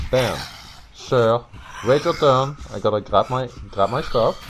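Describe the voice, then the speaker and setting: Noticeable background noise sits behind the voice. A man delivers his words at a moderate pace. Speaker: gaming youtuber. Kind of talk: casual chat. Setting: online voice chat. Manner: halting.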